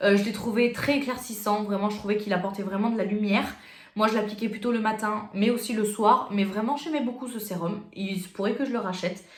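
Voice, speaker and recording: With audible room echo and noticeable background noise, a woman speaks fairly quickly at a fairly high pitch. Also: fairly even intonation. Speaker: beauty youtuber. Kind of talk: product review vlog. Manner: fast; casual, hesitant with fillers.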